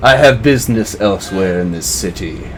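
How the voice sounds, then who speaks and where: A man's put-on character voice, fairly low-pitched and fairly quick, over clear background noise. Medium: actual play. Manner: courtly, threatening.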